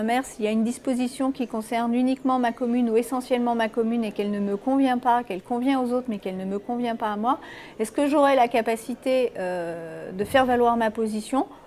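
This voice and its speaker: A woman talks at a fairly quick pace in a high pitch with fairly even intonation, with noticeable background noise behind her. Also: hardly any pauses. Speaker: local politician. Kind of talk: interview answer.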